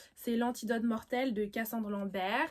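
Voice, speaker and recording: A woman's fairly high voice at a fairly slow pace. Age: young. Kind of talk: casual vlog about books. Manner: hesitant, many fillers.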